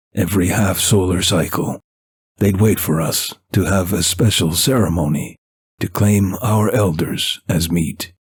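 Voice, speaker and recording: A man speaks in a put-on character voice, very deep and low in pitch. It sounds gruff and rumbling at a moderate pace. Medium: read story. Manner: gruff, rumbling, unhurried.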